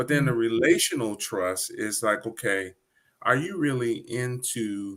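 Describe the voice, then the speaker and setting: An unremarkable speaking voice with an American accent, at a fairly slow pace. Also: man. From Detroit, Michigan. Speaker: poet and hip hop artist, Navy veteran. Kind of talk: interview answer.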